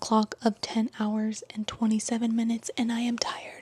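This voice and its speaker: A woman's somewhat breathy voice, dark and mellow in tone, sits at a fairly high pitch with flat, monotone intonation in a dry, close sound with no echo. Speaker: booktuber. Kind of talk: casual vlog chat.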